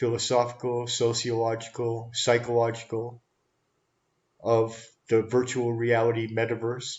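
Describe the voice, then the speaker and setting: A man's somewhat breathy, medium-pitched voice at a fairly slow pace, with monotone, flat intonation. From Canada, Toronto. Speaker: live streamer, talk show host. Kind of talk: casual live stream talk.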